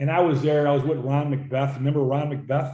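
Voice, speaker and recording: Fairly quick, somewhat breathy speech from a man, fairly high in pitch yet dark and mellow in tone, monotone with flat intonation, with audible room echo. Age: 70s. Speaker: gym owner. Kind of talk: casual chat.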